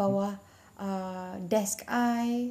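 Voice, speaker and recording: Her tone is dark and mellow. This is a woman speaking. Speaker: podcast guest. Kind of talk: casual chat.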